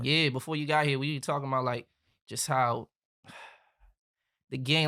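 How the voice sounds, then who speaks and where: Very cleanly recorded over a silent background, a man talks at a fairly quick pace. His fairly high voice has a bright, sharp tone and flat, monotone intonation. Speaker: podcast host. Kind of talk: podcast conversation.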